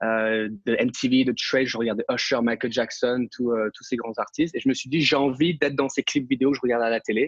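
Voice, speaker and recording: This man talks at a fairly quick pace with hardly any pauses, at a medium pitch and with fairly even intonation. The sound is dry and close, with no echo. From Europe. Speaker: dancer and acrobat. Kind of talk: interview. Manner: halting, many fillers and repetitions.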